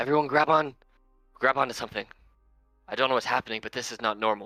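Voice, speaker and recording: In a loud, booming put-on character voice, a man races along at a very fast pace with a medium pitch while faint music plays in the background. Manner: yelling, alarmed.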